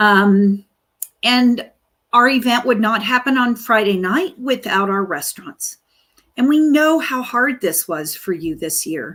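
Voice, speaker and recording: A woman talks at a fairly slow pace. Her pitch swings very widely. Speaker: chamber of commerce director, livestream host. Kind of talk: live community update. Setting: Facebook live stream.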